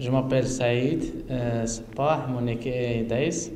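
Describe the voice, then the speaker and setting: A man at a very slow pace with fairly even intonation, audible room echo and noticeable background noise. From Morocco. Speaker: graffiti artist. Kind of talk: press conference. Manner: halting.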